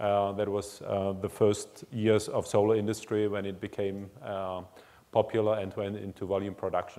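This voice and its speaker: A man's dark, mellow tone, flat and monotone in intonation, at a moderate pace. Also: fairly low pitch for a man. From Germany (born in Czech Republic). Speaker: engineering executive; speaker. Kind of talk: lecture. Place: hall. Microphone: lapel.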